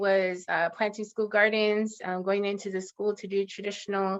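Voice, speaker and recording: Against a quiet background, the voice holds a monotone, flat intonation. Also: woman. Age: 30s. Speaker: community organizer. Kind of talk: webinar presentation.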